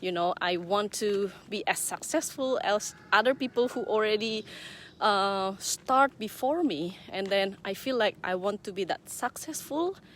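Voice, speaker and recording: A woman's fairly high voice with a non-native accent and lively intonation. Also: fairly slow pace. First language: not English. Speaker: online business owner and mentor. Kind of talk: casual vlog talk. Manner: hesitant, many fillers.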